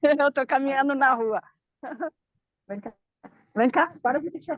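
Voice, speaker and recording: Speaking fairly slowly with ordinary pitch variation, a woman's high voice comes through dry and close, with no echo. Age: 60s. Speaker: viewer joining live, emotional therapist. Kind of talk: casual chat. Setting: video call while walking outdoors.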